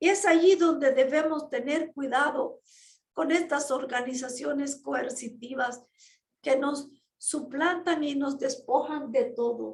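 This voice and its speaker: A woman speaks very slowly in a high voice with fairly even intonation. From Nicaragua. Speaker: ex-Jehovah's Witness activist vlogger. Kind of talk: personal testimony monologue. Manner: slow, deliberate pacing.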